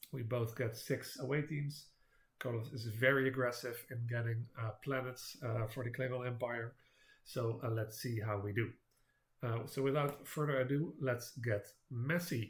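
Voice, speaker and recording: Somewhat breathy, the voice keeps a fairly even intonation at a moderate pace. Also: man, medium pitch for a man. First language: not English. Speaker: board game video creator. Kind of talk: gameplay commentary. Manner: halting, many fillers.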